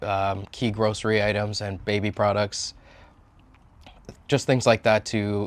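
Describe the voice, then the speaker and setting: In a very clean recording with a silent background, a man with a Canadian accent talks at a moderate pace and a fairly low pitch. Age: 40s. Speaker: political candidate. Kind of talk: interview answers. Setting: on location. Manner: casual, with frequent fillers.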